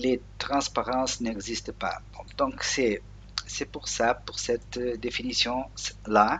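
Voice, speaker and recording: Speaking at a very slow pace, a man talks with a Portuguese accent. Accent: Portuguese-accented French, non-native. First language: Portuguese (speaking French). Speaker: Linux software tutorial maker. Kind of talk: screen tutorial. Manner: halting, many hesitations.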